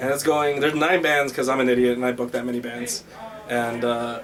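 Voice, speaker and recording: Fairly even intonation carries through noticeable background noise. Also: man. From Chicago, north side (Guatemalan family). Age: 20s. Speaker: punk scene member, show booker. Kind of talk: documentary interview, casual storytelling.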